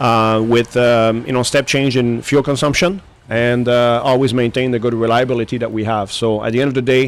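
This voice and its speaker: Speaking with a French accent, a man keeps a fairly quick pace, fairly even intonation and very even loudness. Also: medium pitch for a man, hardly any pauses. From Quebec, Montreal. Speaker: aviation engine company executive. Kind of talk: radio interview. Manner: halting, many fillers.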